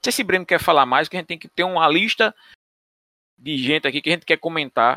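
Speaking very fast with long, frequent pauses and big swings in loudness, a man with a fairly high pitch and a bright, sharp tone is heard in a very clean, dry, close recording with a silent background and no echo. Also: ordinary pitch variation. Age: 40s. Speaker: football podcast host. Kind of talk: casual chat.

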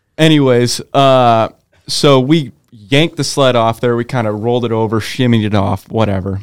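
Here a man talks in a Pacific Northwest accent. His pace is moderate. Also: medium pitch for a man, ordinary pitch variation. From Eastern Oregon, US. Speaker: snowmobiler and electrician apprentice. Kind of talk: casual chat.

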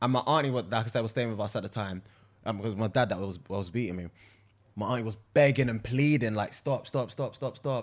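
A man with a London accent at a very fast pace, with ordinary pitch variation, on a very clean recording with a silent background. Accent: Multicultural London English. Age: 20s. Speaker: podcast co-host. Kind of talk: casual chat.

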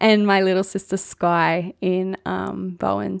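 Spoken at a very slow pace in an Australian accent, the voice has a dry, close sound with no echo. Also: woman. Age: 20s. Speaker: podcast host, nurse and midwife. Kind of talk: casual solo chat.

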